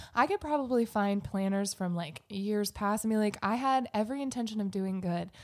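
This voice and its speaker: An ordinary speaking voice at a moderate pace, ordinary pitch variation, hardly any pauses. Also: woman, medium pitch for a woman. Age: young. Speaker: podcast co-host. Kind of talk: casual chat.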